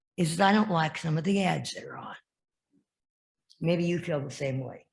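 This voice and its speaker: A woman with an American accent speaks in a very deep, low pitch, somewhat breathy, with lively intonation. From Iowa, US Midwest. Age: 80s+. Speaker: lay service leader. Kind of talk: informal talk. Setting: church service. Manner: halting.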